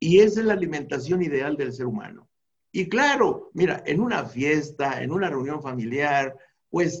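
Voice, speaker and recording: An ordinary speaking voice from a man, fairly slow in pace, with lively intonation. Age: 60s. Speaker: anthropologist and natural medicine expert. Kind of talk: interview about health.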